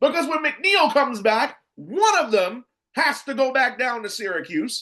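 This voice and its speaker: A man uses an animated tone, raising and projecting his extremely high voice with very wide pitch swings. He speaks at a fairly slow pace. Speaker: sports podcast host. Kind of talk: opinionated sports commentary. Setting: home studio. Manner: loud, yelling.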